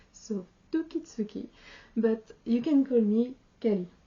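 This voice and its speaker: In a French accent, a woman speaks with lively intonation in a somewhat breathy, fairly high voice. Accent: French accent, non-native English. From France. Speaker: sewing vlogger. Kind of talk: casual channel introduction to camera. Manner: halting, many hesitations.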